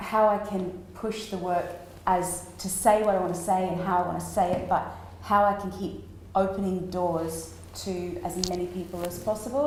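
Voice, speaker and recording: Noticeable background noise and audible room echo surround a woman speaking with an Australian accent. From Australia, small country town. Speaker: street performer and acrobat. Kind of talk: interview at a festival talk. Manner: animated.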